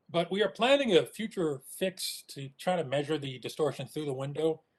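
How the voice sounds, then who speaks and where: With ordinary pitch variation, a man's voice sits fairly high in pitch. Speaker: astronomer. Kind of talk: technical talk. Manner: fast.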